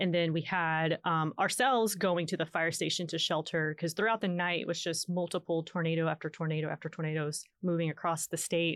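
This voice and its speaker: A woman with an American accent uses a normal speaking voice at a fairly low pitch. Her intonation is fairly even, and the sound is dry and close with no echo. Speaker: storm chaser. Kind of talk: casual interview.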